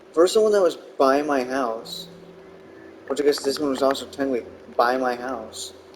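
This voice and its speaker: With music in the background, a man talks at a moderate pace, his fairly high pitch showing ordinary variation. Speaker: gaming video creator. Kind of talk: casual gameplay commentary.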